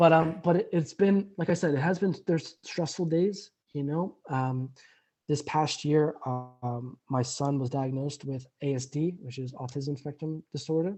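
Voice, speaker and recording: This man's pitch is fairly high. He keeps a moderate pace with ordinary pitch variation. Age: 30s. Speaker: recovering alcoholic guest. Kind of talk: interview testimony. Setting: remote call. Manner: halting, many repetitions.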